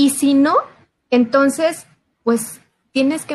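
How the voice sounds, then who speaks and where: The pace is very slow. A woman is speaking. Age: 30s. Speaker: insurance agent. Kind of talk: casual chat.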